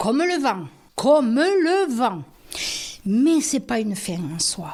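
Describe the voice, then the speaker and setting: Noticeable background noise sits behind a woman with a fairly high pitch. Her pitch swings very widely. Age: 80s+. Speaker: retired bank employee. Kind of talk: interview answer. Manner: casual, chatty.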